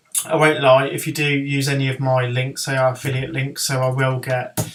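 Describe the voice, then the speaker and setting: The speaker is a man. He has a Birmingham accent. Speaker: horror author. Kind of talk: software tutorial. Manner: droning; hesitant, many ums.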